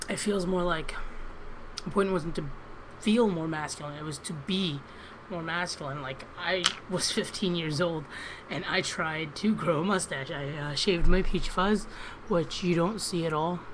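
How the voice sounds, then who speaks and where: A woman's fairly low-pitched voice with ordinary pitch variation, moderate pace and long, frequent pauses, amid audible room echo and noticeable background noise. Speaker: vlogger. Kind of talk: personal video diary. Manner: hesitant, many ums.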